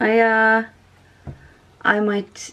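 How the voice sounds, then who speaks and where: A woman is speaking. She has a Norwegian accent. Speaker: sewing vlogger. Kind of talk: casual tutorial. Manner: halting, many fillers.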